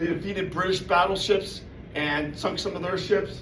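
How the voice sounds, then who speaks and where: A loud man with an American accent, high-pitched, at a moderate pace with ordinary pitch variation, amid noticeable background noise and audible room echo. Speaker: presenter at club meeting. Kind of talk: informal presentation. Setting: meeting room with audience. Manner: casual, filler-heavy.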